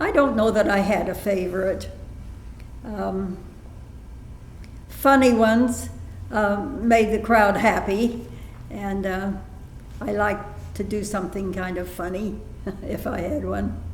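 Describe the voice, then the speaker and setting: Speech comes at a fairly slow pace with fairly even intonation and long, frequent pauses, amid audible room echo. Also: woman, medium pitch for a woman. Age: 80s+. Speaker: elderly woman recalling childhood recitations. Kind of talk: interview. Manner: halting.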